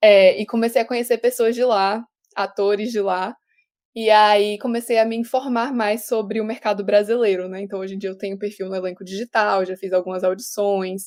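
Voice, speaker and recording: At a moderate pace, a woman with a medium pitch speaks in a monotone, flat intonation. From Brazil. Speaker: actress. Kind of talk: casual interview.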